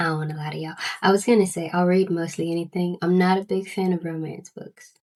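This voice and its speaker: A woman speaks with a Southern US accent. Her intonation is flat and monotone. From US South. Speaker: book vlogger. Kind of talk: casual chat. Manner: halting, frequent repetitions.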